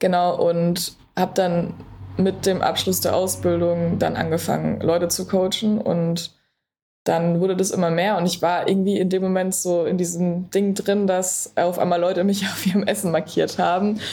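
A woman's medium-pitched voice, dark and mellow in tone, with flat, monotone intonation, a moderate pace and very even loudness. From Berlin, Germany. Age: 20s. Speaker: sports nutrition coach. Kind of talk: podcast interview.

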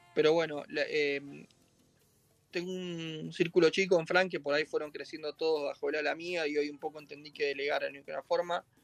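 Monotone, flat intonation runs at a fairly quick pace. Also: man, fairly high pitch for a man. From Argentina, Mar del Plata. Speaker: chef. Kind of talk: casual chat.

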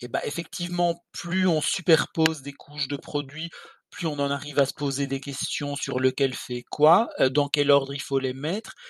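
An unremarkable speaking voice at a fairly slow pace, with fairly even intonation and a dry, close sound with no echo. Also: man, fairly high pitch for a man. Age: 50s. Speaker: skincare blogger, podcast co-host. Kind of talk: casual chat.

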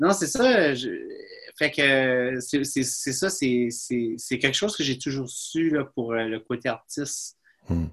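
Very slow pacing with ordinary pitch variation. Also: man, medium pitch for a man. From New Brunswick, Bathurst (Acadia). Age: 30s. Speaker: filmmaker and author. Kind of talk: casual chat.

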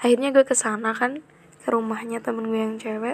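A woman's fairly high voice with fairly even intonation against noticeable background noise. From Central Java (Kebumen). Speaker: podcaster. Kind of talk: casual monologue. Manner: chatty, frequent laughs.

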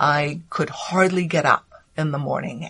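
A woman's somewhat breathy, very deep and low voice, with fairly even intonation and a fairly slow pace. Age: 50s. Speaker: former lawyer, coach and author. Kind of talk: interview. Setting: library recording room, face to face.

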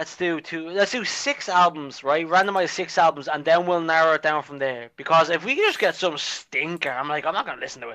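Fairly quick and bright, sharp in tone, a man's fairly high voice shows big swings in loudness and ordinary pitch variation. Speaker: podcast co-host. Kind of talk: casual chat.

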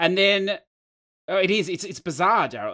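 Speaking at a fairly quick pace, a man has a high pitch and a bright, sharp tone. The recording is very clean, with a silent background. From Australia. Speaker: gaming podcaster. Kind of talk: casual chat.

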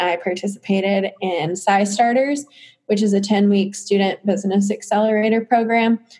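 A woman speaks at a moderate pace with a medium pitch. Her voice is somewhat breathy, with fairly even intonation. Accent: American. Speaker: entrepreneur. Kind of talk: casual interview.

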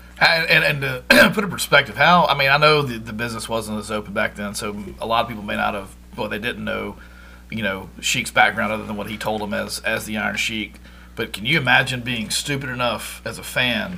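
With music in the background, a man in a Southern US accent talks at a fairly quick pace. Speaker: podcast co-host. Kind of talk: casual interview.

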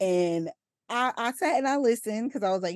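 A woman's an ordinary speaking voice with ordinary pitch variation, against a quiet background. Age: 30s. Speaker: maternity nurse and perinatal coach. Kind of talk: casual interview chat.

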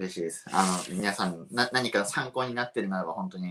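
This man talks at a fairly quick pace. His pitch is very deep and low. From Japan, Shiga Prefecture. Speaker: coffee roaster and shop owner. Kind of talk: explanatory lecture.

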